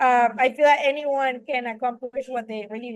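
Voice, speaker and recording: A woman with a high pitch speaks in a Spanish accent. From Venezuela. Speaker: film director and writer. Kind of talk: interview. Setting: podcast.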